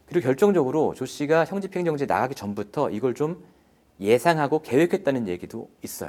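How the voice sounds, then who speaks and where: This man has an ordinary speaking voice, fairly high in pitch, and he talks at a fairly quick pace. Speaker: investigative reporter. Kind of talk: interview explaining an investigation.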